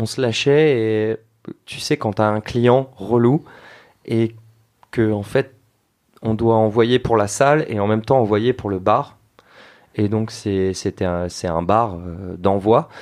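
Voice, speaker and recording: A man at a medium pitch speaks at a very slow pace, with long, frequent pauses. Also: ordinary pitch variation. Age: 30s. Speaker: bartender and youtuber. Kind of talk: casual chat.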